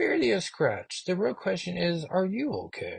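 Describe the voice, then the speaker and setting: This is a man using a put-on character voice. He speaks at a moderate pace. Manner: reassuring, casual.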